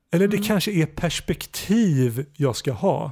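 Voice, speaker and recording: The man's voice sits high in pitch. It carries a dark, mellow tone. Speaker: podcast host. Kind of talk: casual chat. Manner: halting.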